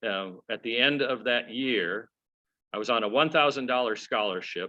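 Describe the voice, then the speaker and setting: The speaker has a plain, everyday voice with an American accent. The pace is moderate and the pitch variation ordinary. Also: man. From US South (Georgia, Atlanta area; early childhood Minnesota). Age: 60s. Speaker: regional presbyter, minister. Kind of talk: personal talk to congregation. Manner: conversational with many fillers.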